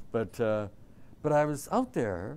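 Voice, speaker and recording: Here a man talks with a Canadian accent. The recording is very clean, with a silent background. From southern Ontario, Canada. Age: 60s. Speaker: artist. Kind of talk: interview. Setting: classroom with audience. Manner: animated.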